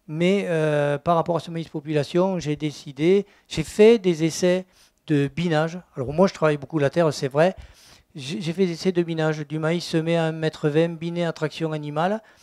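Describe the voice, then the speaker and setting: Here a man with a fairly high pitch speaks at a moderate pace with fairly even intonation, the sound dry and close with no echo on a very clean recording with a silent background. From southwest France, Gers. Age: 60s. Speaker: organic farmer. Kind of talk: testimony at a conference. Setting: conference talk before audience. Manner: hesitant, many fillers.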